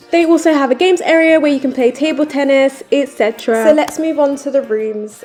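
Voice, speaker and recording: Over noticeable background noise, a woman speaks in an upbeat tone at a high pitch with ordinary pitch variation. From British Jamaican. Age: 20s. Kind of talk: travel vlog narration. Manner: casual, upbeat.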